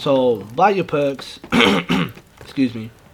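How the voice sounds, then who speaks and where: Noticeable background noise is present throughout. The words come at a fairly slow pace. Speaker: gaming YouTuber. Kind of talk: gameplay commentary. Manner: mumbling; hesitant, with many fillers.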